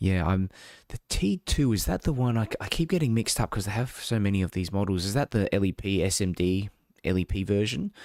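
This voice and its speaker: The man speaks in a fairly low voice with an Australian accent. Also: ordinary pitch variation, fairly quick pace, very clean recording, silent background. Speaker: tech reviewer, live streamer. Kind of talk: live stream unboxing and chat. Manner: casual, hesitant with fillers.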